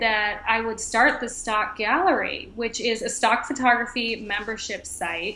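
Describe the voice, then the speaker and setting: Fairly high female voice in a room with audible echo. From Boston, Massachusetts. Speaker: entrepreneur, stock photographer, former lawyer. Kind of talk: interview.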